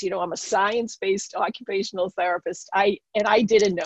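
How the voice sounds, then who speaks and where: A woman with a Boston accent talks at a moderate pace and a medium pitch. The sound is dry and close with no echo, and the background is quiet. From Boston area. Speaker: occupational therapist and spiritual teacher. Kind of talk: interview testimony.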